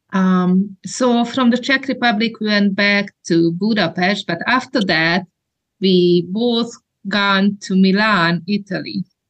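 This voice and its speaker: A woman speaks very slowly at a medium pitch, somewhat breathy and with ordinary pitch variation. Her loudness stays very even throughout. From Hungary. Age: 40s. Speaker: women's ministry trainer. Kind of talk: interview.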